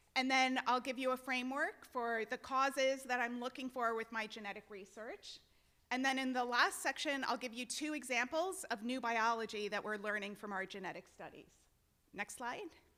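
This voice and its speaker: A loud, high-pitched woman's voice with ordinary pitch variation at a moderate pace. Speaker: genetics researcher. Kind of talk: lecture. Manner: animated.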